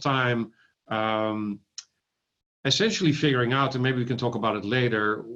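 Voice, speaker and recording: A man in a Dutch accent, at a moderate pace, with ordinary pitch variation. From Netherlands. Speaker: ophthalmologist and AI company founder. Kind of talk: interview. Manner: halting with fillers.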